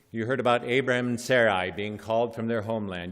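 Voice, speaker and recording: This man talks at a very fast pace with a Nebraska accent. His pitch is medium and his intonation fairly even. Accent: Nebraska, flat, little. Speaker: bishop. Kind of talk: sermon.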